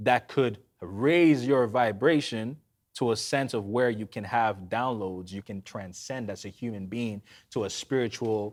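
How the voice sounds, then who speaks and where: A normal speaking voice, a man's, fairly low in pitch, with ordinary pitch variation and a fairly slow pace. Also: very clean recording, silent background. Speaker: podcast host. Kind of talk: podcast conversation. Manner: casual.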